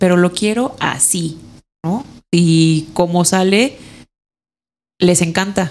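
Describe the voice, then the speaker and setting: Speaking very slowly in a Mexican accent, a woman uses a medium pitch with ordinary pitch variation in a very clean recording with a silent background. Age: 30s. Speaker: ceramic artist. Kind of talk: casual chat. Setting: home studio.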